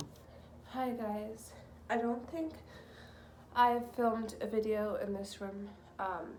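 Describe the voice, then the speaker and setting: A woman's fairly high voice at a very slow pace, with audible room echo. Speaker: vlogger. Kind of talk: casual vlog monologue. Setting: at home, in the nursery. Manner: hesitant, many ums.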